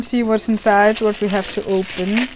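Light noise sits in the background. The speaker is a woman. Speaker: card opening vlogger. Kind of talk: casual vlog chat. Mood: cheerful, giggly. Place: home room. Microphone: webcam.

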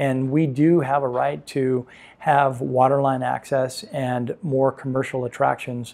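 At a fairly slow pace, a man talks with a Southern California accent. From San Pedro, Los Angeles, California. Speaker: real estate agent and business owner. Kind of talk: interview answer. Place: home room. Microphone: lapel.

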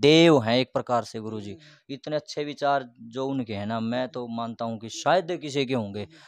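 Ordinary pitch variation at a moderate pace, with a dry sound and no echo. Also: man, medium pitch for a man. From Haryana. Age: young. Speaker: bhajan singer and lyricist; interviewee. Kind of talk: interview. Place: home room. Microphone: handheld.

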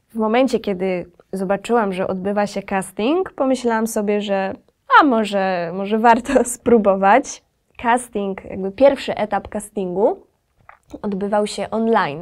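Against a quiet background, a woman with a normal speaking voice talks fairly slowly at a medium pitch with ordinary pitch variation. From Podkarpacie, south-east Poland. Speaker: singer and violinist; interview guest. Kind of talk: interview. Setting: recording studio. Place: studio.

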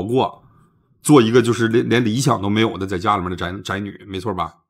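This man has an unremarkable speaking voice, speaking at a fairly quick pace with medium pitch and ordinary pitch variation. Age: 40s. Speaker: livestream advice host. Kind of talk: live-stream call-in advice. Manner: blunt, lively.

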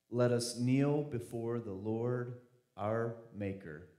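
A man's dark, mellow voice at a very slow pace, with audible room echo and a quiet background. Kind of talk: scripture reading and announcement. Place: church. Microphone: handheld.

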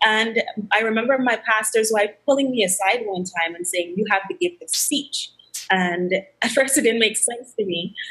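Over a quiet background, a woman talks at a moderate pace in a fairly high, bright, sharp voice. Her intonation is lively, and her loudness swings widely. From Guyana. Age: 20s. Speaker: actress and media entrepreneur. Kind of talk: interview. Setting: video call. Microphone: video call.

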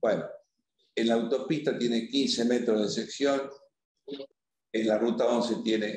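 Heard with audible room echo, a man speaks at a medium pitch and moderate pace in a slightly mellow tone.

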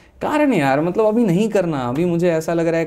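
Dark and mellow in tone, a man speaks at a moderate pace. His pitch swings very widely. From Bihar, West Champaran (Bettiah); Bihar. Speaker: maths teacher; teacher as podcast guest. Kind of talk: interview. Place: studio. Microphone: studio mic.

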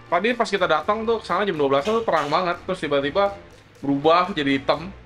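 A man's high-pitched, very fast speech over faint music in the background. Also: ordinary pitch variation. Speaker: vlogger telling a story. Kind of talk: casual conversation. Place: office.

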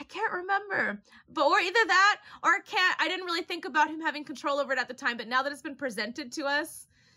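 A woman speaks at a fairly quick pace in a bright, sharp, raised and projected voice with lively intonation over a quiet background. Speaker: anime reaction vlogger. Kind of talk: casual commentary. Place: home room.

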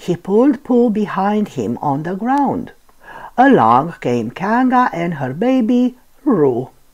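The words are read aloud. The voice sounds natural.

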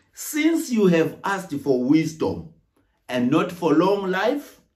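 Over a quiet background, a man speaks at a very slow pace with very wide pitch swings. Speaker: minister. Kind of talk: sermon. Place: home room. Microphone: phone near.

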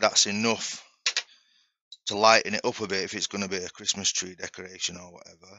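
A man speaks at a moderate pace with fairly even intonation. The sound is dry with no echo, over a quiet background. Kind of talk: tutorial. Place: workshop.

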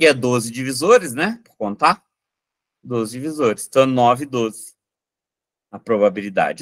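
A man speaks at a fairly slow pace with lively intonation against a quiet background. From Minas Gerais, Brazil. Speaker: math teacher. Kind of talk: online lecture solving exam questions. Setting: live online class with chat. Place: home room. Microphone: webcam.

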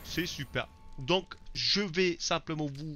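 Someone speaks at a very slow pace while music plays in the background. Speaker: gaming YouTuber. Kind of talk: let's play commentary. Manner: casual and excitable.

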